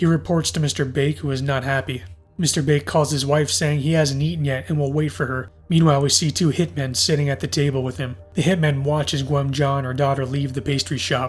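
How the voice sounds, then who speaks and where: A man does a put-on character voice that is raspy and fairly high, talking at a fairly quick pace with faint music in the background. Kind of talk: film recap narration. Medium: solo performance. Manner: even, matter-of-fact.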